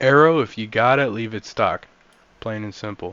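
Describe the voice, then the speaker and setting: Ordinary pitch variation, with music in the background. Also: man. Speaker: gaming YouTuber. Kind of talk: tutorial. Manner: slurring words.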